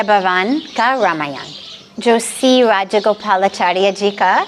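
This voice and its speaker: A woman speaks over noticeable background noise. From Los Angeles, USA. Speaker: spiritual leader. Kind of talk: interview answer. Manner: mixes Hindi and English.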